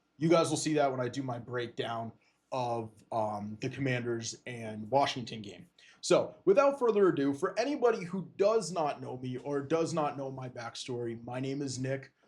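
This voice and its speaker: Somewhat breathy, a man with an American accent speaks at a moderate pace and medium pitch, his intonation lively and his loudness swinging widely. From eastern Pennsylvania, Lehigh Valley. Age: 20s. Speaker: sports podcaster and streamer. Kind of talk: casual livestream talk. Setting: livestream on camera. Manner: hesitant, many fillers and restarts.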